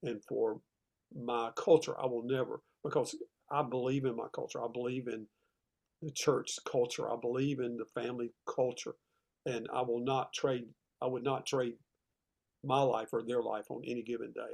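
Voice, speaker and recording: With a Southern US accent, a man speaks at medium pitch in a monotone, flat intonation, leaving long, frequent pauses. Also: moderate pace. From US South, South Carolina (Rock Hill). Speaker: retired teacher and author. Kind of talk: interview conversation. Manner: halting, with fillers and repeats.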